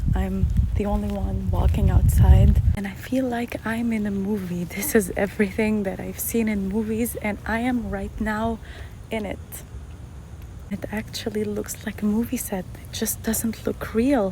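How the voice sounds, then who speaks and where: Someone whispers at a fairly slow pace. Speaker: visitor to the US. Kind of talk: casual vlog. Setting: outdoors, walking in a neighborhood. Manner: whispering.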